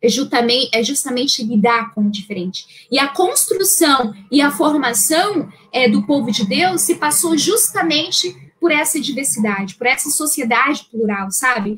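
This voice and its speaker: A woman with a high pitch speaks at a fairly slow pace, her pitch swinging very widely. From northern Brazil, Santarém, Pará. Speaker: Bible teacher. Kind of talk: lecture. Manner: many fillers and repetitions.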